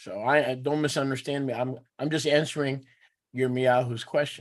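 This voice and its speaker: A man with an American accent, at a medium pitch and moderate pace, with monotone, flat intonation. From New York. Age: 60s. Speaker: teacher of a religious assembly. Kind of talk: teaching with live interpretation. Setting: video call.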